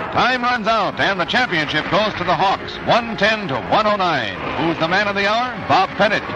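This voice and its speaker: Over noticeable background noise, a man speaks at a moderate pace with hardly any pauses, in a dry sound with no echo. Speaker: newsreel narrator. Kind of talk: vintage newsreel narration. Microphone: old recording.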